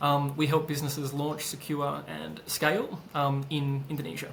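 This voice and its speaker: With an Australian accent and fairly even intonation, a man talks at a fairly high pitch amid audible room echo and noticeable background noise. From Australia (Perth). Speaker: business consultant and founder. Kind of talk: interview. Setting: podcast. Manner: hesitant, many fillers.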